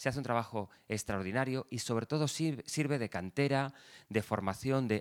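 In a very clean recording with a silent background, a man talks in an ordinary speaking voice at a medium pitch. His pace is moderate, his pitch variation ordinary, and the sound dry and close with no echo. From Valencia region, Spain (Ribera, Alberic). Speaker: radio journalist. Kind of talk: interview conversation.

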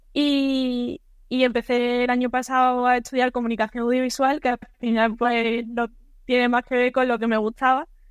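A woman speaks in a high pitch with a monotone, flat intonation. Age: 20s. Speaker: sports photographer. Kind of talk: interview.

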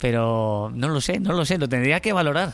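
The speaker is a man. His intonation is lively. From Spain (Burgos). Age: 30s. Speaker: former footballer, civil servant. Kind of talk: casual interview. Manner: halting, with repetitions.

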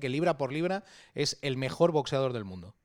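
The speaker uses ordinary pitch variation on a very clean recording with a silent background. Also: man. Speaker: podcast host. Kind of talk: casual interview. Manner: halting, many repetitions.

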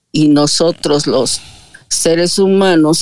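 Recorded dry and close with no echo, a woman speaks with a very deep, low pitch and ordinary pitch variation. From Mexico City. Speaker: audience participant in live audio room. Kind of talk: casual chat. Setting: live online audio room. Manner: formal.

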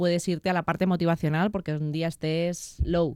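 A woman speaks in a monotone, flat way at a fairly low pitch. The recording is very clean with a silent background and a dry, close sound with no echo. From Madrid, Spain. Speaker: personal trainer and physiotherapist. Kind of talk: interview.

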